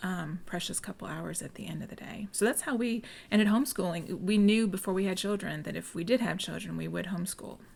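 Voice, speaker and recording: Soft-spoken with vocal fry, a woman talks at a very fast pace and medium pitch, with ordinary pitch variation and big swings in loudness. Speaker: homeschool group co-founder. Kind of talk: casual podcast interview. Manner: quiet, soft-spoken.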